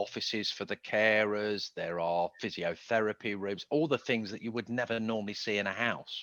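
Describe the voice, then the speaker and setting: The man has a bright, sharp tone at a fairly low pitch. The sound is dry and close, with no echo. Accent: British. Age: 60s. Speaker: tax consultant. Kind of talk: presentation Q&A. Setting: video call.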